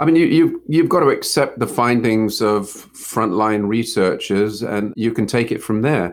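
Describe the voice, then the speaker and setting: Here a man with an unremarkable speaking voice talks at a fairly slow pace, medium pitch and lively intonation. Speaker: author. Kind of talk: casual interview chat.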